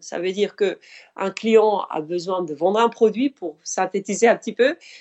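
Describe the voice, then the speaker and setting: Speaking fairly slowly, a woman shows ordinary pitch variation. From Spain, Mediterranean coast. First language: Spanish (speaking French). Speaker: author. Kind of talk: interview.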